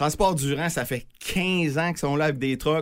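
A man talks fairly quickly in an animated tone in a very clean recording with a silent background. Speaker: toy drive organizer. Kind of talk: casual chat.

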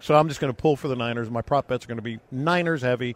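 A man of medium pitch delivers his lines in a dramatic, animated tone, recorded dry and close with no echo and a silent background. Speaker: sports radio host. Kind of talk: sports hype monologue, theatrical Vegas-style build-up, then casual sports talk. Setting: live radio show on location in Las Vegas. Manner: dramatic, animated, building like a ring announcer.

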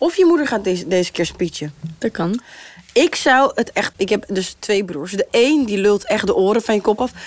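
Over noticeable background noise, a woman with a fairly high pitch speaks at a moderate pace, her pitch swinging very widely. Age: 20s. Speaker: singer. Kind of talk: casual chat.

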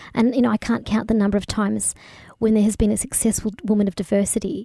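A woman with an Australian accent speaks at a very fast pace in a medium pitch with fairly even intonation. Her tone is dark and mellow, and the sound is dry and close with no echo. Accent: Australian; people can't place it. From Australia, country Victoria (Bendigo). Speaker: cross-cultural consultant. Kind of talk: interview. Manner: hesitant fillers.

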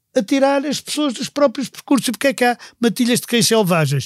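A man with very wide pitch swings, recorded with a dry, close sound and no echo. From Portugal, Viseu family. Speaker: history podcast co-host. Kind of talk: casual chat.

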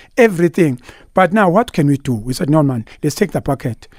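Heard in a dry, close recording with no echo, a man speaks with a Zulu accent at a fairly high pitch. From KwaZulu-Natal, South Africa. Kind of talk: radio interview. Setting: studio. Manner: animated.

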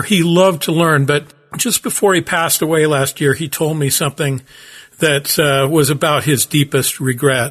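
With an American accent, a man with an ordinary speaking voice speaks at a moderate pace and a fairly high pitch. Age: 60s. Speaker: business professor and podcast host. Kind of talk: solo podcast monologue, storytelling.

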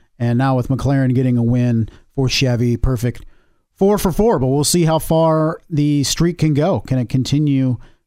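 A man with a plain, everyday voice speaks at a medium pitch and a fairly slow pace. His loudness is very even, and his pitch varies in an ordinary way. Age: 30s. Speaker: motorsport podcast co-host. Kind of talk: casual sports discussion.

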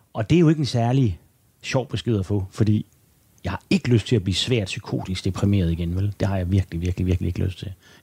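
In a dry, close recording with no echo, a man talks at a very fast pace, somewhat breathy, with a fairly low pitch and a dark, mellow tone. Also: ordinary pitch variation. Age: 50s. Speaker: journalist and author. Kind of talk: interview conversation. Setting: at home.

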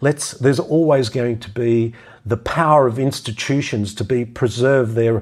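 Speaking at a moderate pace with ordinary pitch variation, a man is heard on a very clean recording with a silent background. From Australia. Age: 60s. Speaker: podcast host and health practitioner. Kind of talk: solo monologue commentary.

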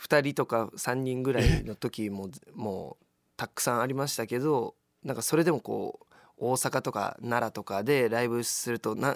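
A man's normal speaking voice at medium pitch, moderate pace and ordinary pitch variation, dry and close with no echo on a very clean recording with a silent background. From Kobe, Japan. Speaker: actor and musician. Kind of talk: radio interview.

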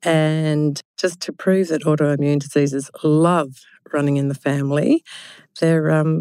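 A woman with a dark, mellow tone, a very deep, low pitch and an Australian accent. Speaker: podcast host. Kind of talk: casual interview chat. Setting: studio, in person.

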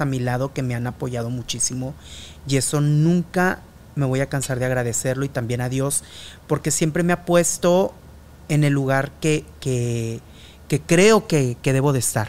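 Here a man with a Mexican accent talks with a fairly high pitch. His pace is moderate and his pitch variation ordinary. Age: 30s to 40s. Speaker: journalist and podcast host. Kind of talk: casual chat.

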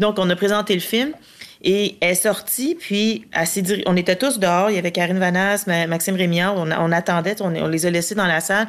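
At a moderate pace, a woman speaks with a medium pitch, ordinary pitch variation and very even loudness. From Latin America. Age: 40s. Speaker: film producer. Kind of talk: casual interview chat.

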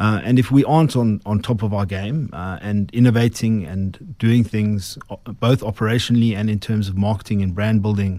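On a very clean recording with a silent background, a man with a South African accent speaks in a dark, mellow tone at a fairly low pitch, moderate pace and ordinary pitch variation. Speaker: brewing company chief executive. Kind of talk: radio interview. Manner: halting, many fillers.

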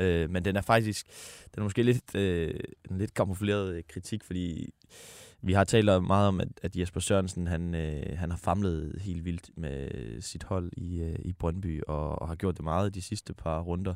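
Recorded very cleanly against a silent background, with a dry, close sound and no echo, a man speaks at a fairly slow pace in a very deep, low pitch with fairly even intonation. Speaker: football podcast co-host. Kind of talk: casual sports chat.

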